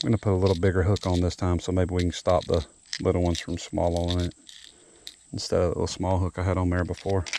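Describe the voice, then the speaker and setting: Someone with a Southern US accent talks at a very fast pace, broken by long, frequent pauses. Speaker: fishing vlogger. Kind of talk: casual vlog narration. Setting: outdoors by a roadside pond. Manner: soft-spoken.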